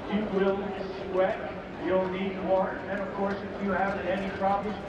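A man's voice amid loud background noise and audible room echo. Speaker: airshow announcer. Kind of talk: airshow announcer speaking live over PA to a crowd. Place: stadium. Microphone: pa.

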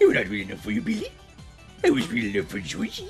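A man speaks very fast in a put-on character voice, with clear music playing in the background. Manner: menacing, eerie.

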